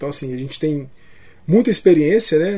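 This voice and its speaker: A man is talking. He has a dark, mellow tone. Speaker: podcast co-host. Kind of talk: casual chat.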